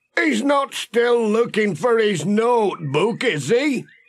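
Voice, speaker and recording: This man uses a put-on character voice with a northern English accent. His pitch is high, and he talks at a fairly slow pace. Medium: read story. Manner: grumbling, homely.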